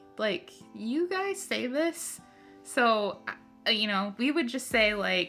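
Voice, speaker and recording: Music sits in the background as a woman with an American accent speaks very slowly. Her fairly high voice moves in very wide pitch swings. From Minnesota. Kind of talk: casual conversation.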